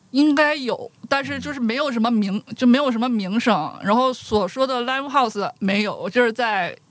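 The pace is moderate. There are hardly any pauses. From Dandong, Liaoning (northeast China). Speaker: guest. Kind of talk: casual chat.

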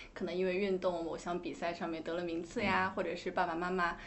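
Background noise is easy to pick out here. Over it, a woman speaks fairly quickly. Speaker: radio podcast host. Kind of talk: interview, host introduction. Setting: podcast studio.

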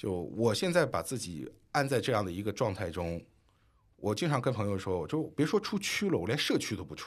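In a very clean recording with a silent background, a man of fairly low pitch talks at a fairly quick pace with very wide pitch swings. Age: 30s. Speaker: podcast co-host, former finance worker. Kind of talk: casual chat.

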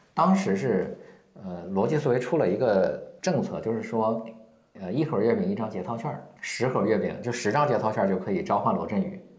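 A man's somewhat breathy, medium-pitched voice with very wide pitch swings, at a moderate pace, in audible room echo. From rural China. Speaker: marketing consultant and company founder. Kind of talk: interview. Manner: hesitant, many fillers.

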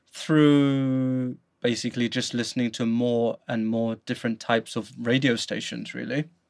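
In a very clean recording with a silent background, a man with a London accent talks at a medium pitch. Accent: British (London). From London, England. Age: 30s. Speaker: podcast host. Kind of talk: casual chat.

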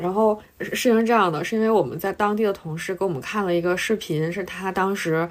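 A woman's fairly quick, medium-pitched voice, an ordinary speaking voice, with ordinary pitch variation. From Northeast China (Harbin). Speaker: podcast co-host, journalist. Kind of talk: casual chat.

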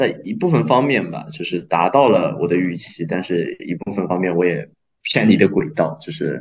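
Lively intonation in a man's very deep, low voice. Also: moderate pace. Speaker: restaurant worker, former journalism student. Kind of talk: casual chat.

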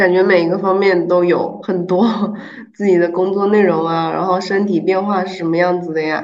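In a room with audible echo and noticeable background noise, a woman speaks in a flat monotone at a moderate pace. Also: medium pitch for a woman. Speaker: podcast host. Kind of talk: casual interview chat.

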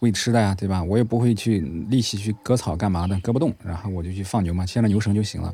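In a Henan accent, a man talks very fast in a fairly low pitch, his tone dark and mellow and his intonation fairly even. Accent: Henan accent, northern-sounding. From Hubei (Zhongxiang), Henan migrant family. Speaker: third-generation reservoir migrant, new-media worker. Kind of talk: personal testimony.

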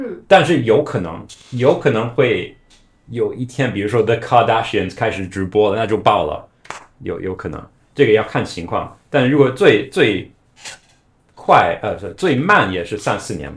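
This man speaks at a fairly slow pace, somewhat breathy. His pitch swings very widely and his loudness varies a lot. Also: medium pitch for a man. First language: not Chinese, foreign-born (speaking Chinese). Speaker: company founder, former Chinese video influencer. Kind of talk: casual interview.

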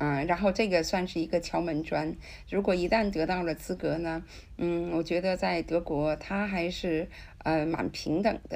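A woman's voice with vocal fry and fairly even intonation, on a very clean recording with a silent background. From China, Tianjin. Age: 60s. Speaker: interpreter. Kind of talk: interview.

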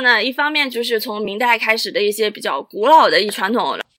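Her voice is raised and projected. She talks at a moderate pace, a woman clearly heard. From Chaozhou, Guangdong. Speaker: Chinese opera enthusiast guest. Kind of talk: casual chat.

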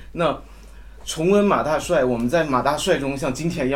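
A normal speaking voice, male, fairly high-pitched and with ordinary pitch variation. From Jilin, China. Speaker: fan attendee. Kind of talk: casual group sharing. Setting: live event with audience.

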